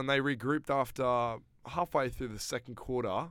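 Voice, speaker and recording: With an Australian accent, a man talks at a fairly quick pace on a very clean recording with a silent background. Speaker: football podcast host. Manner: excitable, overlapping, jokey fan.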